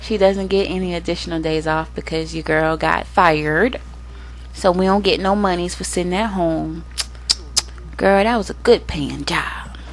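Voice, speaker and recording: At a moderate pace, a woman speaks with audible room echo and noticeable background noise. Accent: American. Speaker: gaming youtuber. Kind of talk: casual gameplay commentary. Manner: chatty, animated.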